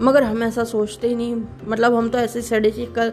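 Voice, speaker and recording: Over noticeable background noise, a woman with a fairly high voice speaks at a moderate pace. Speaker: podcaster. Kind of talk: casual monologue. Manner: pauses often.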